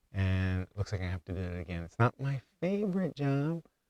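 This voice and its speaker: A man mumbling in a fairly low voice, with a dry, close sound, no echo, and a very clean recording against a silent background. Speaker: homesteader vlogger. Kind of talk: casual vlog talk. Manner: halting.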